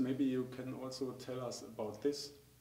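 A man speaks at a fairly slow pace with a German accent. Room echo is audible. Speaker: dental technical trainer. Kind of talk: interview. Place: studio.

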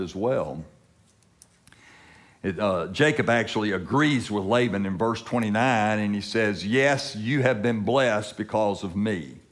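The man speaks at a fairly slow pace in a fairly low pitch. The background is quiet. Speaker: preacher. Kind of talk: sermon. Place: church.

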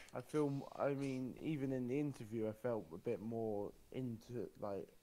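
A British accent and a dark, mellow tone, at a fairly slow pace with ordinary pitch variation. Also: man. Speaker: podcast guest. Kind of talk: casual chat.

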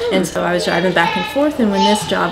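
Loud background noise fills the recording. Through it, a woman speaks at a very fast pace. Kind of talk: interview answer. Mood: friendly, smiling. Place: hall.

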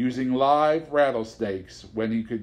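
The pitch shows ordinary variation. The text is read aloud in a natural voice.

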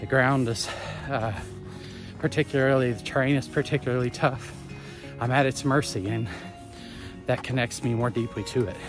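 A man speaks at a moderate pace, with long, frequent pauses. Clear music plays in the background. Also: ordinary pitch variation, dry sound with no echo. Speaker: pilgrimage vlogger. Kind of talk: casual vlog chat. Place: forest. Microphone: phone near.

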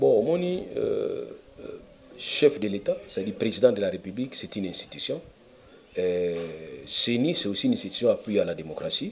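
The speech moves at a moderate pace with long, frequent pauses. Light background noise is present. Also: man. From DR Congo. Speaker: lawyer and political commentator; lawyer, political commentator. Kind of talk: interview. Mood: animated, argumentative. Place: office.

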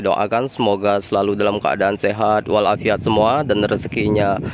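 Fairly quick and fairly low-pitched, a man talks with a dry sound that has no echo over light background noise. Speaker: bus-spotting vlogger. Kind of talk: casual vlog chat. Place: street. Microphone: phone near.

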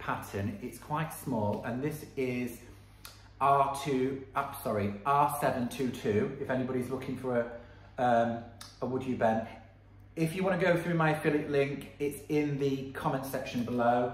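A man talks at a fairly slow pace. His pitch varies in an ordinary way, and the room echo is audible. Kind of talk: tutorial. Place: workshop. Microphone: phone near.

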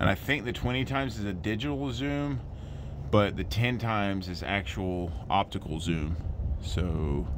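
With noticeable background noise behind him, a man with a very deep, low pitch and vocal fry talks at a fairly slow pace with lively intonation. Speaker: family vlogger. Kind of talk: casual vlog chat. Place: street. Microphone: phone near.

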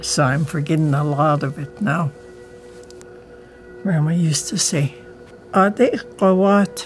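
Fairly slow speech with long, frequent pauses and ordinary pitch variation, music in the background. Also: woman, very deep, low pitch for a woman. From Kake, Alaska. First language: Tlingit. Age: old. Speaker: Elder and Tlingit language teacher. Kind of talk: interview answer. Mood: reflective, earnest. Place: home room.

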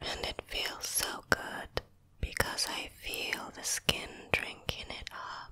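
Whispering at a very slow pace, a woman's voice rises and falls widely in loudness. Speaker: skincare creator. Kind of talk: soft-spoken skincare tutorial. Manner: soft-spoken, relaxed and quiet.

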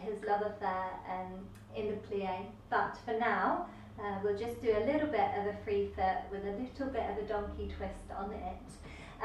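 A woman talks at a moderate pace with ordinary pitch variation, some audible room echo and light background noise. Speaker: dance teacher. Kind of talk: class instruction. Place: empty room. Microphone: camera far.

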